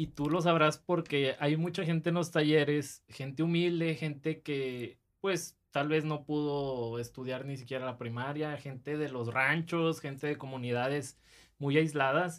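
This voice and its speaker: A man speaks in a plain, everyday voice, fairly high in pitch. His intonation is fairly even, with hardly any pauses. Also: fairly slow pace. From Monterrey, northern Mexico. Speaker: podcast host. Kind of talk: casual chat.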